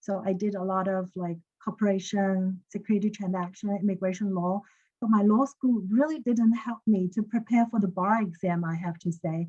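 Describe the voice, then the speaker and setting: In a Chinese accent, a woman speaks at a moderate pace and medium pitch with a dark, mellow, somewhat breathy tone and fairly even intonation. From China. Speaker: lawyer. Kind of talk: webinar panel discussion.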